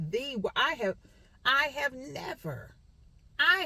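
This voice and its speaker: A woman's animated tone amid noticeable background noise. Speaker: vlogger and realtor. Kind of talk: venting vlog.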